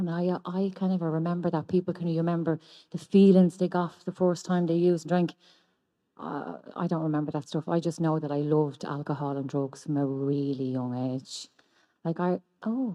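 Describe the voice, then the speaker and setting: A woman with an Irish accent, fairly low in pitch, with ordinary pitch variation and a moderate pace. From Ireland. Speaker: recovering addict sharing at a convention. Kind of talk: testimony.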